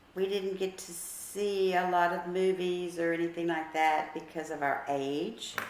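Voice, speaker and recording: A woman with an American accent speaks fairly slowly at a fairly low pitch with fairly even intonation, amid audible room echo and noticeable background noise. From US South, New Orleans (Metairie). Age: 60s. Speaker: grandmother interviewed about her childhood. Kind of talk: casual family interview, reminiscing. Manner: conversational, with hesitations.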